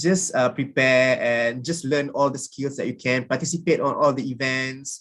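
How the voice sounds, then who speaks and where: Speaking with a Malaysian accent, a man with a fairly high pitch keeps his intonation fairly even and hardly pauses at all. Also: moderate pace. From Malaysia, rural kampung background. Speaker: alumni speaker, recent graduate. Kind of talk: sharing session talk to students. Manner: halting, many fillers.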